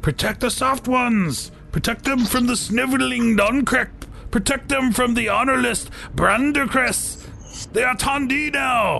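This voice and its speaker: A man's shouting in a put-on character voice at an extremely high pitch, over clear background noise. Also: moderate pace. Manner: squawking, yelling.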